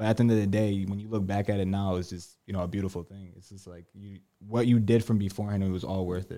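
A man's fairly low, dark, mellow voice with an American accent, very fast and monotone, flat in intonation, with big swings in loudness, on a very clean recording over a silent background. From Connecticut, US. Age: 20s. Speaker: salesperson. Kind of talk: interview.

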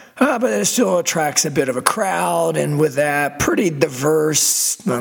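Noticeable background noise sits behind a man whose voice makes very wide pitch swings. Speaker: podcast host. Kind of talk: casual monologue. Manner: hesitant with fillers.

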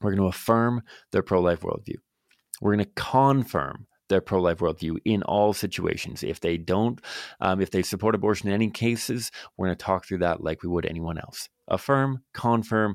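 A man speaks at a fairly low pitch with ordinary pitch variation. The recording is very clean with a silent background and a dry, close sound with no echo. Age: 30s. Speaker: podcast host, pro-life advocate. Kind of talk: solo instructional podcast monologue. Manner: fast; hesitant, many fillers.

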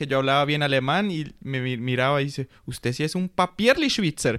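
A man with a fairly high pitch speaks in an unremarkable speaking voice. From Colombia. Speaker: school social worker. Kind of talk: casual interview.

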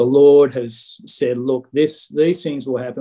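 A man with an Australian accent speaks at a fairly slow pace. His tone is dark and mellow, at a medium pitch. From Sydney, Australia. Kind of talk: testimony. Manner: halting.

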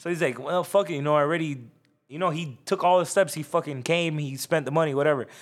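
Fairly even intonation marks this very fast speech in an American accent. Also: man, fairly high pitch for a man, very clean recording, silent background. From South Florida. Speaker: barber. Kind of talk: casual chat.

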